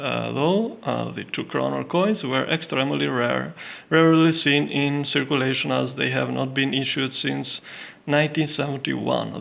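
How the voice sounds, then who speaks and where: Keeping a moderate pace, a man talks with a non-native accent. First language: not English. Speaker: coin and banknote collector. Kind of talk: casual collection showcase. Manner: halting, many fillers.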